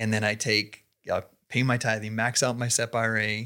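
The tone is bright and sharp on a very clean recording with a silent background. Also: man. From Idaho. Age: 40s. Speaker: fitness coach and entrepreneur. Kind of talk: interview. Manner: casual, halting.

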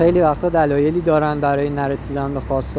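Amid noticeable background noise and audible room echo, a man talks fairly quickly at a medium pitch with ordinary pitch variation. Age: 20s. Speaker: podcaster. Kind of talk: personal monologue. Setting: outdoors on a street. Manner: halting. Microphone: muffled through face mask.

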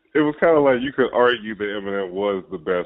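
A plain, everyday voice from a man with an American accent, fairly low in pitch, at a fairly quick pace with ordinary pitch variation. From Ohio, Cincinnati. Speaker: podcast host. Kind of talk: casual chat.

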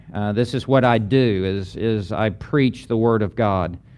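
A normal speaking voice from a man, medium in pitch with ordinary pitch variation. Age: 60s. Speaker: pastor and seminary lecturer. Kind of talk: lecture.

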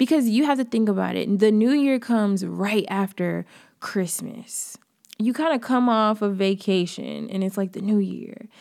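In a plain, everyday voice with an American accent, the speaker moves at a moderate pace with ordinary pitch variation. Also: woman, fairly high pitch for a woman. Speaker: podcast host. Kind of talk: pep talk. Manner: warm, encouraging; casual, chatty.

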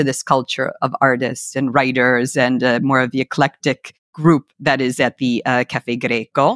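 A woman with an American accent speaks at a moderate pace with a very deep, low pitch. The recording is very clean, dry and close, with a silent background and no echo. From United States. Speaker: author. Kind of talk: casual interview.

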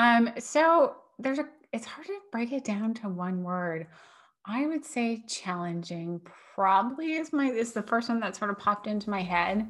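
Somewhat breathy and at a fairly high pitch, a woman talks at a moderate pace with lively intonation. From US Northeast. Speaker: food allergy business owner and parent. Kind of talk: casual interview.

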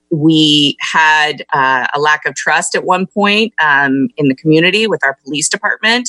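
In an American accent, a woman with a very deep, low pitch and a bright, sharp tone speaks at a fairly slow pace with hardly any pauses and lively intonation, the sound dry and close with no echo. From California, Monterey County. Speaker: business council executive and former city councilwoman. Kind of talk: radio interview.

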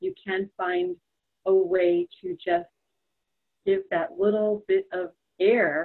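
A woman speaks with an American accent in an unremarkable speaking voice, medium in pitch with ordinary pitch variation. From New York. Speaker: psychotherapist. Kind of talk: interview conversation.

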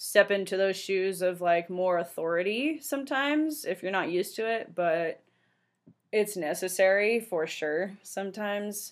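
Fairly slow speech with a Californian accent, captured in a very clean recording against a silent background. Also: woman. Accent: Californian American English. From San Francisco Bay Area. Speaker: podcast host, financial planner. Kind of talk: casual monologue.

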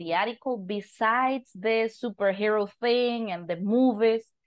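A woman speaks with a Costa Rican accent. Her pitch is fairly high. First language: Spanish. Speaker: podcast host and English teacher. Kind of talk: casual interview.

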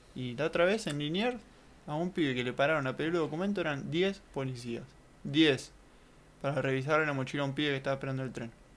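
Talking at a very fast pace with a Rioplatense accent, a man uses a fairly high pitch and ordinary pitch variation. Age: 20s. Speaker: podcast co-host. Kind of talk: casual chat.

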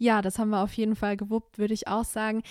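This woman's voice sits at a fairly high pitch. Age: 20s. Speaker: local councillor. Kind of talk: casual chat.

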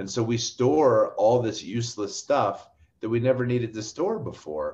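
A somewhat breathy man at a medium pitch and moderate pace, against a quiet background. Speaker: oil and gas industry commentator. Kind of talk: casual interview chat.

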